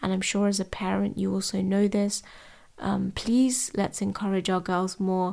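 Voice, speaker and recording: A woman with a London accent speaks at a medium pitch in a dark, mellow tone, with monotone, flat intonation and very even loudness, on a very clean recording with a silent background. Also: moderate pace. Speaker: podcast host and tutor. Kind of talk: solo podcast talk.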